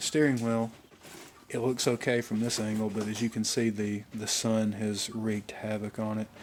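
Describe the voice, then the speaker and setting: A man's fairly low-pitched voice with an Alabama accent, monotone and flat in intonation, at a moderate pace. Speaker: car enthusiast vlogger. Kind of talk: casual vlog walkthrough. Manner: casual, hesitant with fillers.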